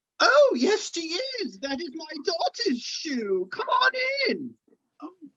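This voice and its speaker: A woman performs a put-on character voice at an extremely high pitch. Her pitch swings very widely, her loudness jumps sharply, and her pace is fairly slow. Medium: stage play.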